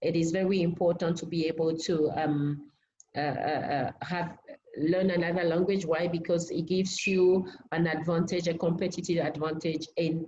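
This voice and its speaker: Speaking with a French accent, a woman keeps a fairly low pitch and a moderate pace in a monotone, flat delivery. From Benin. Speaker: language academy team member. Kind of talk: online seminar introduction. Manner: halting, many fillers.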